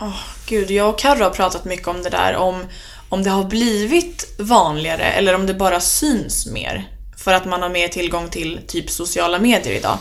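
At a moderate pace, a woman speaks in an unremarkable speaking voice, her pitch medium with ordinary variation. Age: 20s. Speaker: student and podcaster on eating disorders. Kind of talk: interview.

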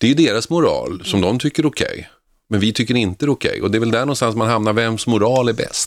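A man's medium-pitched voice, very fast, with ordinary pitch variation, in a very clean recording with a silent background. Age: 50s. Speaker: radio host. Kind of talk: talk radio discussion. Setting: studio.

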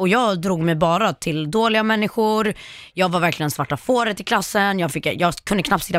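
Delivered at a fairly quick pace with very even loudness and ordinary pitch variation, the speech comes through a very clean recording with a silent background. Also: woman. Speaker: social media influencer. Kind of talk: casual chat. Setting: studio.

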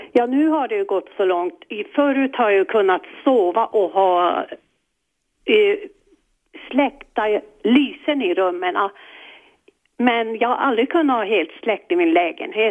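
A woman talks fairly slowly with long, frequent pauses. Her fairly high pitch moves with lively intonation. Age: 60s. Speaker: caller with fear of the dark. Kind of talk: phone-in advice call.

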